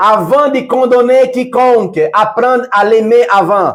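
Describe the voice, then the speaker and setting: A man speaks at an extremely high pitch. He goes very slowly, his loudness very even. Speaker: preacher. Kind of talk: sermon. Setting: livestream. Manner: softer, calm at times.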